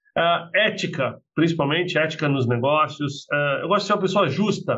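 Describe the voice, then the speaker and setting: At a moderate pace, a man with a fairly high pitch speaks in an ordinary speaking voice. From Brazil, Minas Gerais; raised in São Paulo from 11. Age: 40s. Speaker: business executive. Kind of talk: interview conversation.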